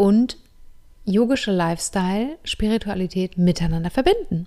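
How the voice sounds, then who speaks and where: On a very clean recording with a silent background, a woman speaks at a moderate pace in a dark, mellow tone, her medium pitch showing ordinary variation. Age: 30s. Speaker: yoga teacher and podcast host. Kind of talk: monologue.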